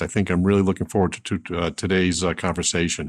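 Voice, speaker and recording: At a fairly quick pace, a man talks in a very deep, low pitch with fairly even intonation. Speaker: podcast co-host. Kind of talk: interview conversation.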